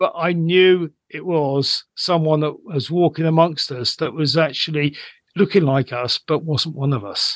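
Speaking in a plain, everyday voice, a man uses a fairly high pitch, ordinary pitch variation and a fairly slow pace. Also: dry, close sound with no echo. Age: 60s. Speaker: psychic medium and aura reader. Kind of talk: casual chat.

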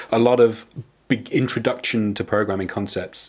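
This is a man. He has a plain, everyday voice. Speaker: podcast co-host. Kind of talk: casual interview chat.

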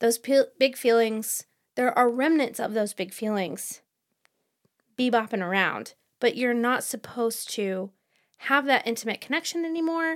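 A woman speaks in a high voice with lively intonation. Her pace is fairly slow. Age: 40s. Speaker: book podcast co-host. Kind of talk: casual chat.

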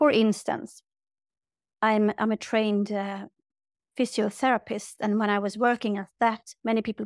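A woman with a Swedish accent speaks at a fairly high pitch in monotone, flat intonation, recorded very cleanly over a silent background with a dry, close sound and no echo. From Sweden. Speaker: yoga teacher and spiritual healer. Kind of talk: interview.

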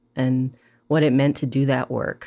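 In a very clean recording with a silent background, a woman with a Hawaiian accent speaks at a moderate pace in a very deep, low, dark, mellow voice with monotone, flat intonation. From Hawaii, Maui. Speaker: poet and educator. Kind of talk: interview conversation.

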